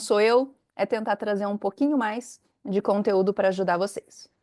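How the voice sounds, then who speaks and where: A woman talks at a moderate pace in a Brazilian accent. The sound is dry and close with no echo, over a quiet background. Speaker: compliance consultant, company founder. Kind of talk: webinar presentation. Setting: online webinar.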